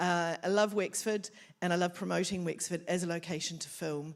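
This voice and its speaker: A woman with a New Zealand accent at a moderate pace, fairly low in pitch, in a very clean recording with a silent background. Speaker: film office coordinator. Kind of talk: event welcome speech.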